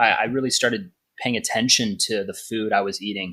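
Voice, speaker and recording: With a bright, sharp tone, a man speaks at a medium pitch and a moderate pace. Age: 30s. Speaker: fitness business founder. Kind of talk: casual chat.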